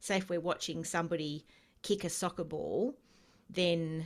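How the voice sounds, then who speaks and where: A woman with a fairly low pitch speaks fairly slowly in an Australian accent, her intonation fairly even. The recording is very clean, with a silent background. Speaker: empath educator. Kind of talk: interview.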